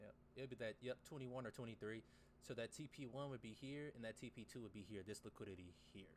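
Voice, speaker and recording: Words come at a very fast pace. The pitch varies in an ordinary way. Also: man, medium pitch for a man. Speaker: trading livestreamer. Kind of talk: casual livestream commentary.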